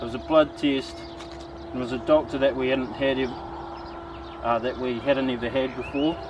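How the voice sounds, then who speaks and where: Speaking with a New Zealand accent at a fairly slow pace, a man keeps his intonation fairly even over noticeable background noise. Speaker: bushcraft vlogger. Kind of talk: casual monologue while crafting. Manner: halting.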